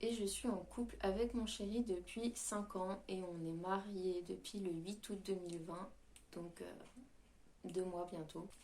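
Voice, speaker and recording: A woman speaks at a very slow pace with a medium pitch and fairly even intonation. Room echo is audible around her voice. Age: 20s. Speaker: YouTuber. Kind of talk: casual chat. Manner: hesitant, many fillers.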